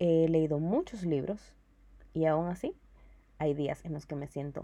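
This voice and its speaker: Her voice has a dark, mellow tone and sits fairly low for a woman. She speaks at a fairly slow pace. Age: 20s. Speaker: podcast host, publicist and marketer. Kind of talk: casual personal monologue. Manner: casual Spanglish code-switching.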